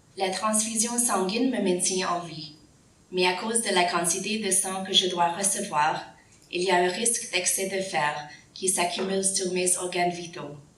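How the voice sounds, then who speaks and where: Amid noticeable background noise and audible room echo, a woman at medium pitch speaks at a fairly slow pace. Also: fairly even intonation. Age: 40s. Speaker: patient advocate speaker. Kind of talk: prepared speech.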